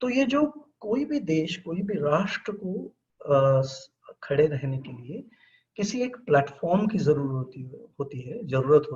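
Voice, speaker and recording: Very wide swings in pitch from a man whose voice sits fairly high. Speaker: professor of mass communication. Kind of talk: webinar lecture. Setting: online webinar. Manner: halting, with many fillers.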